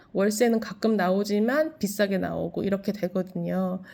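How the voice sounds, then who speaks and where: At a moderate pace, a woman speaks in a medium pitch with a dark, mellow tone and ordinary pitch variation, on a very clean recording with a silent background. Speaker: vlogger and landlord. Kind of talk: casual vlog monologue. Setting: at home. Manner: halting with fillers.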